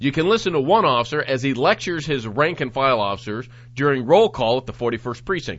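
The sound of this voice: The intonation is lively throughout this unforced reading voice.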